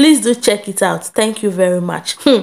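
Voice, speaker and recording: A woman talks at a moderate pace. Her voice has a medium pitch. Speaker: vlogger. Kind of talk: casual vlog commentary. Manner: animated.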